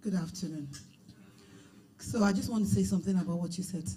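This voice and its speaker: This somewhat breathy voice has a dark, mellow tone and comes with a Nigerian accent. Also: woman. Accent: Nigerian (Yoruba) English. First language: Yoruba. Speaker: minister. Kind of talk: marriage teaching panel.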